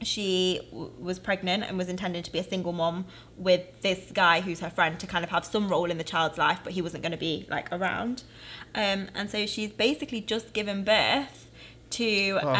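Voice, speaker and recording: Her bright, sharp tone sits at medium pitch for a woman, with ordinary pitch variation. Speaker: podcast co-host. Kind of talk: casual chat. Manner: fast.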